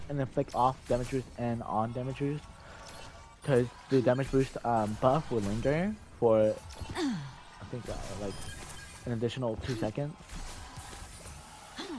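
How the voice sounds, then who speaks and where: A man speaks with long, frequent pauses. Music plays in the background. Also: medium pitch for a man, ordinary pitch variation, moderate pace. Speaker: gamer. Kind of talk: game tutorial voice-over. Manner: hesitant, many fillers.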